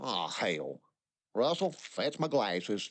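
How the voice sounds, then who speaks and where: Doing a put-on character voice, a man speaks gruffly at a fairly slow pace with a fairly high pitch. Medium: cartoon. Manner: gruff, profane.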